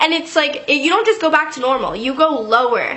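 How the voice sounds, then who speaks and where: A woman's intonation is lively, with noticeable noise in the background. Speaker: YouTube vlogger. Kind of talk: storytime monologue. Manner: fast; casual, filler-heavy.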